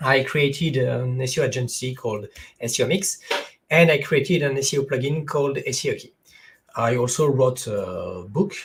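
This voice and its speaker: A somewhat breathy, fairly high male voice at a moderate pace, with ordinary pitch variation. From France. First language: French. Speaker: SEO consultant. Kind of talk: webinar presentation. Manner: halting, many fillers. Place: home room.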